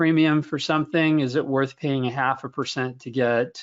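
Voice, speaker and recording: This is a normal speaking voice, a man talking fairly quickly at a fairly high pitch with fairly even intonation. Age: 50s. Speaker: investment research director. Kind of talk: webinar Q&A answer. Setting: online webinar.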